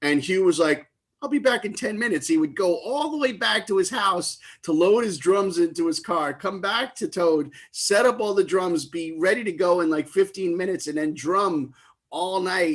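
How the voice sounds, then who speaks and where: Loud and high-pitched, a man with a New York accent talks at a moderate pace with lively intonation. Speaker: livestream tribute concert host. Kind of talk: live stream emcee chat.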